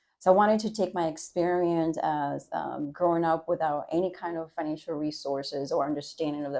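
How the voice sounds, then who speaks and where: She talks at a fairly quick pace with a Spanish accent and a fairly low pitch. The recording is very clean, with a silent background. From Dominican Republic. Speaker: university trustee board chair. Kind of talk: podcast interview.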